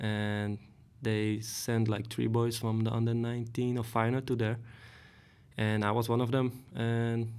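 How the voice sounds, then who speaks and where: A man's medium-pitched voice with a Dutch accent, flat and monotone, at a moderate pace. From Netherlands, Hoogvliet near Rotterdam. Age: 30s. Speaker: professional footballer. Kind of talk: casual interview. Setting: studio. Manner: hesitant, many fillers.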